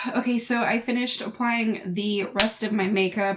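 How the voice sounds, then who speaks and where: Noticeable background noise surrounds this recording. A woman speaks at a moderate pace in a medium pitch. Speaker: beauty vlogger. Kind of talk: makeup review vlog. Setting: home, filming at night. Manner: casual, hesitant.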